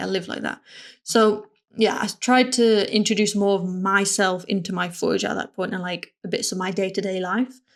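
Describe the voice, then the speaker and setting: A woman speaks at medium pitch with vocal fry. Her intonation stays monotone and flat. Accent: northern English. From northern England. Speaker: motion designer and content creator. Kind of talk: casual vlog talk.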